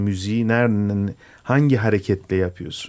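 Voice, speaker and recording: A very clean recording of a man at a moderate pace, the background silent. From Istanbul, Turkey (Greek Orthodox family from Imbros). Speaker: musician. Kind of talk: radio interview. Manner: hesitant, many fillers.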